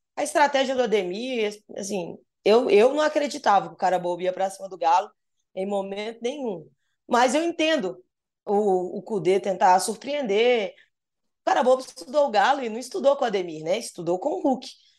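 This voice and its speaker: Fairly high in pitch, a woman with a plain, everyday voice speaks at a moderate pace with lively intonation. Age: 30s. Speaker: football journalist. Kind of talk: casual chat.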